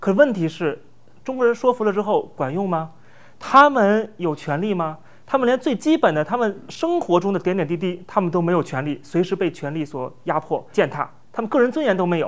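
Here a man speaks in a high pitch with very wide pitch swings, at a fairly quick pace. The recording is very clean, the background silent. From mainland China. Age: young. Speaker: political commentator and online influencer. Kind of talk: conversational interview. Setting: studio.

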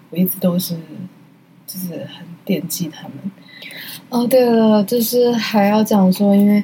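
A woman's medium-pitched voice with ordinary pitch variation, big swings in loudness, long, frequent pauses and noticeable background noise. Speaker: solo art podcast host. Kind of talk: casual chat. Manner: halting.

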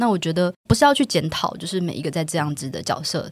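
A woman with an ordinary speaking voice and a fairly low pitch talks at a fairly quick pace with lively intonation. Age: 30s. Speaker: book editor. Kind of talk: conversational interview.

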